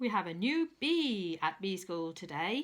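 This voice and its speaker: Woman's put-on character voice at medium pitch, fairly slow pace. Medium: read story.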